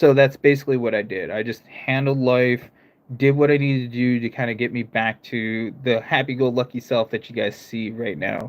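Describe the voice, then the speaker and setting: In an American accent, a man with a medium pitch speaks at a moderate pace with fairly even intonation. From United States, various regions. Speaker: gaming streamer. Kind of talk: live stream chat.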